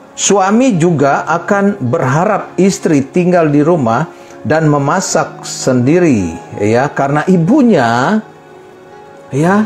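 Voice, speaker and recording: A very slow pace over faint background music. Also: man. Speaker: pastor. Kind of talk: sermon. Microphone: phone near.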